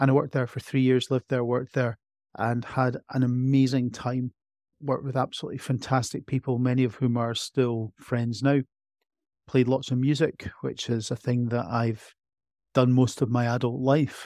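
Dry and close with no echo, the recording carries a man with an Edinburgh accent whose dark, mellow, medium-pitched voice moves at a moderate pace in a flat monotone. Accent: Scottish (Edinburgh). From Scotland, Edinburgh. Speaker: emergency medicine doctor. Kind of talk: interview.

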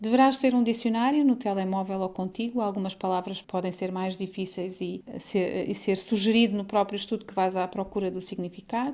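A woman with a dark, mellow tone and medium pitch speaks at a moderate pace with fairly even intonation and hardly any pauses. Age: 40s. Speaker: church ministry worker leading women's Bible study. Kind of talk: Bible study teaching.

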